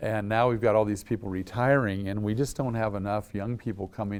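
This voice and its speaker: A man with an American accent at a moderate pace, fairly even intonation, on a very clean recording with a silent background. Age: 60s. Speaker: state legislator. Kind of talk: interview. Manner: halting, many repeated words.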